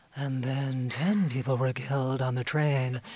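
In a put-on character voice with a low-to-middle pitch, the speaker sounds breathy and moves at a moderate pace. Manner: intentionally breathy, sultry while reading grim news.

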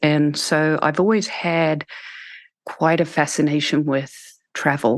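Against a quiet background, a speaker with a New Zealand accent talks very slowly with fairly even intonation. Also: woman. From New Zealand, small town. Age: 50s. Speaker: school founder. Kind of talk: interview conversation.

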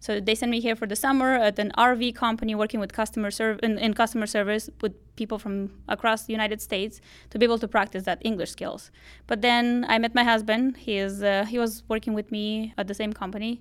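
Very fast and monotone, a woman talks with flat intonation in a Romanian accent. The recording is very clean, with a silent background. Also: fairly high pitch for a woman. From Moldova. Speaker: high school teacher. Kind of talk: interview.

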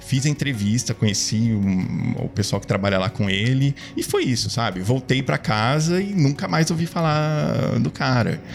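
Very wide pitch swings and hardly any pauses over music in the background. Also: man, medium pitch for a man, moderate pace. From Brazil, Ribeirão Preto, São Paulo state. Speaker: product designer. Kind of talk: casual interview. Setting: studio.

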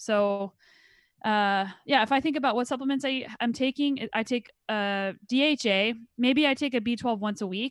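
Fairly high pitch from a woman with an unremarkable speaking voice and ordinary pitch variation, on a very clean recording with a silent background. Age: 30s. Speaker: pro mountain biker and mindset coach. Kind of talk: interview conversation.

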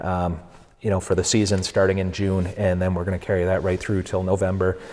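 This man speaks in a very deep, low pitch with an American accent. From New Hampshire, US. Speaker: cider maker. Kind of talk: casual chat. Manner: halting.

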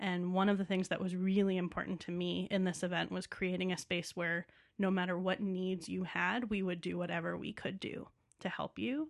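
Against a silent background in a very clean recording, a woman with an American accent and a normal speaking voice talks at a moderate pace and medium pitch with fairly even intonation. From New York City. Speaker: theater managing director. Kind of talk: casual chat.

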